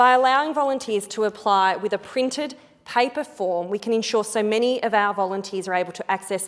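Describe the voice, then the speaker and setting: At a fairly quick pace, a woman speaks with fairly high pitch and ordinary pitch variation. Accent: Australian. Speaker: politician. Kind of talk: parliamentary speech. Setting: parliament chamber. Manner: formal.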